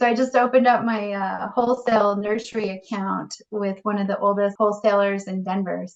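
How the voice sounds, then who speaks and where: Against noticeable background noise, a woman speaks quickly in a monotone, flat delivery with hardly any pauses. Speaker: realtor. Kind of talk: interview.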